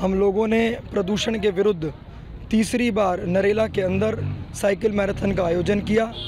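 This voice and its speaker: A man's high-pitched, monotone voice with flat intonation and very even loudness, over noticeable background noise. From Delhi. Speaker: NGO general secretary. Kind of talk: street interview.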